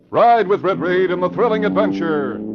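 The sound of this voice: A man's high-pitched voice carries vocal fry and very wide pitch swings.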